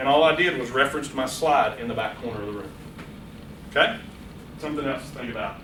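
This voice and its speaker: A man talks at a very fast pace with ordinary pitch variation, amid noticeable background noise and audible room echo. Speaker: public speaking workshop presenter. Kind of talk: workshop lecture. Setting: room with live audience. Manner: loud; animated.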